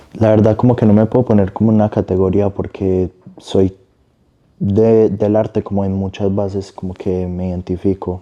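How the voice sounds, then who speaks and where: With a dark, mellow tone, a man speaks at a moderate pace in a monotone, flat intonation. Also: fairly low pitch for a man. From Medellín, Colombia. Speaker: singer and artist. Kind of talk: interview answer.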